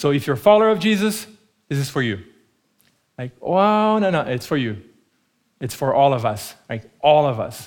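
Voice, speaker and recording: Speaking with a Portuguese accent, a man with a fairly high pitch moves through very wide pitch swings at a moderate pace with long, frequent pauses. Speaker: preacher. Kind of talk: sermon. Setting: church.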